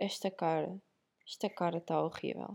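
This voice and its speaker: With a European Portuguese accent, a woman speaks at a fairly slow pace. Her tone is dark and mellow, with fairly even intonation. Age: 20s. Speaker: podcaster. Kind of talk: casual monologue. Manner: casual, chatty.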